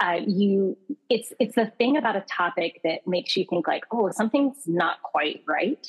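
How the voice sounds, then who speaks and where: With an American accent, a woman speaks at a moderate pace and medium pitch in an unremarkable speaking voice. Her intonation is lively and her loudness very even. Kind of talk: casual interview chat.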